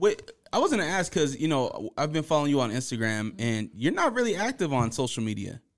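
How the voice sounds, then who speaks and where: Hardly pausing at all, a man talks at a fairly quick pace in a fairly high voice with very wide pitch swings. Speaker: podcast host. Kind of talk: casual podcast interview.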